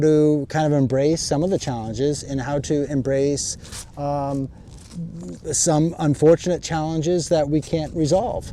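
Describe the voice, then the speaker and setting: Amid noticeable background noise, a man talks at a moderate pace and a fairly high pitch, with fairly even intonation. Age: 50s. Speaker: YouTuber. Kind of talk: casual vlog reflection to camera. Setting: outdoors. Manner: conversational, hesitant.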